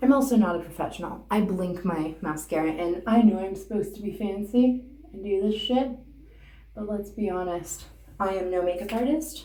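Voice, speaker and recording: A woman talks at a moderate pace and a medium pitch, with ordinary pitch variation and big swings in loudness. Audible room echo surrounds her voice. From Canada. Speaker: beauty and comedy vlogger. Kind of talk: casual makeup tutorial. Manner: casual, rambling, profane.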